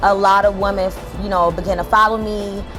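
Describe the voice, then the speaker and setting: Music sounds in the background. Over it, a woman talks at a moderate pace. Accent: American. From Jersey City, New Jersey. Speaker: entrepreneur and business coach. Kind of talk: interview answer. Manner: casual, conversational.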